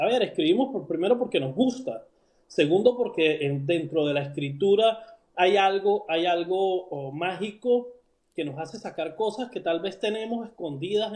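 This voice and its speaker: The man's voice is high in pitch, with lively intonation. He keeps a moderate pace. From Venezuela. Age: 40s. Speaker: writer. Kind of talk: interview. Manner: halting, many fillers and repetitions.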